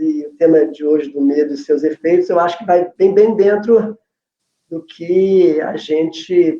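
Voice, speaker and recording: Loudness swings widely as a man talks at a moderate pace. His pitch is fairly high, his intonation fairly even. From Brazil. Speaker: family constellation facilitator, educator. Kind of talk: casual chat, online live talk.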